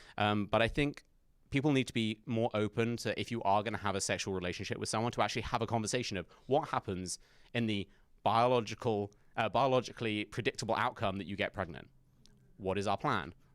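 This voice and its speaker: Talking at a very fast pace, a man with an English accent uses a fairly low pitch and ordinary pitch variation in a very clean recording with a silent background. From England. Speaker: conservative commentator. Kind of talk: campus talk Q&A. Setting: university event with audience.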